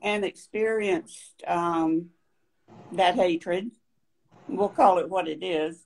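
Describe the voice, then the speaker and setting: A woman with a North Carolina accent speaks very slowly at medium pitch. She uses ordinary pitch variation and long, frequent pauses. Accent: Southern US (North Carolina). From US South, downtown Raleigh, North Carolina. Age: 70s. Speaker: panel guest. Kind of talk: personal testimony in panel discussion.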